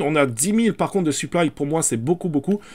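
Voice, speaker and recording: This man speaks with lively intonation. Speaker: crypto and NFT YouTuber. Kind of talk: screen-share market commentary. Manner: fast; hesitant, many fillers.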